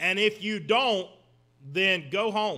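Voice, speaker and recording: A man's raised, projected voice with a bright, sharp tone. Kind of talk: sermon-style lecture. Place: church. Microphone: podium.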